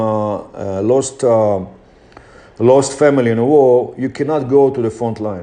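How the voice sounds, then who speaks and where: The speaker has a non-native accent and a dark, mellow tone. Delivery is fairly slow with ordinary pitch variation. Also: man. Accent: foreign accent, noticeable. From Israel. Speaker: motivational speaker. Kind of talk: motivational talk.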